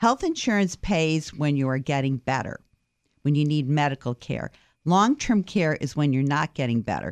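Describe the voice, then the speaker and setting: A woman with an American accent talks at a moderate pace in a very deep, low voice with lively intonation, recorded dry and close with no echo against a quiet background. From Boston area. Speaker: insurance outreach director. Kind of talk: radio interview.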